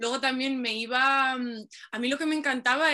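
Speaking at a moderate pace, a woman uses a raised, projected voice that is high in pitch with a bright, sharp tone. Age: 20s. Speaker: poet and advertising copywriter. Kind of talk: casual chat.

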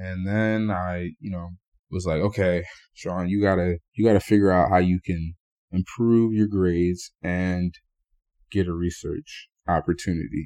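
Speaking at a fairly slow pace, a man has a very deep, low pitch and a dark, mellow tone. His intonation is fairly even, and the sound is dry and close with no echo. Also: quiet background. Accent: American. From New Jersey. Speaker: medical student. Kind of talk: interview storytelling. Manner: halting.

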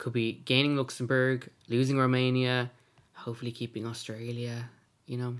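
A man talks at a moderate pace and medium pitch. His intonation is monotone and flat. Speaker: podcast host. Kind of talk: casual chat.

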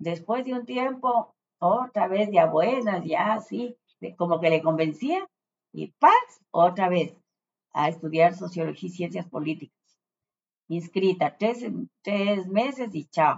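Woman with vocal fry and a fairly low pitch, lively intonation, a fairly slow pace and long, frequent pauses. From Ecuador, Ambato (Andean highlands). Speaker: retired journalist. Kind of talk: interview.

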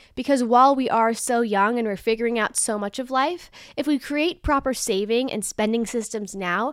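A woman with an unremarkable speaking voice talks at a fairly quick pace and fairly high pitch, with ordinary pitch variation, in a very clean recording with a silent background. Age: 20s. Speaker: financial advisor and podcast host. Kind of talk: casual educational talk. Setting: video podcast recording. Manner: upbeat.

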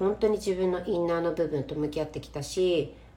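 A woman with a fairly low voice talks fairly quickly while noticeable background noise plays behind her. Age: 40s. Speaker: podcast host and Instagram live streamer. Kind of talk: casual live-stream talk. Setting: Instagram live stream recorded as podcast.

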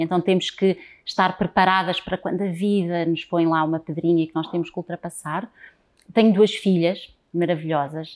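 A woman's plain, everyday voice at medium pitch and a moderate pace, with fairly even intonation, on a very clean recording with a silent background. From Portugal, Lisbon. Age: 40s. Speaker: transgenerational therapist. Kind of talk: interview.

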